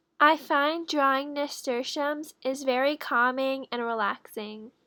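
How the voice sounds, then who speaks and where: In a very clean recording with a silent background, a woman uses a raised, projected voice with a high pitch and a bright, sharp tone. She talks at a fairly slow pace with fairly even intonation. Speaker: bullet journal youtuber. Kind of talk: tutorial voiceover narration; casual reaction commentary. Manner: slow, awkward with long pauses.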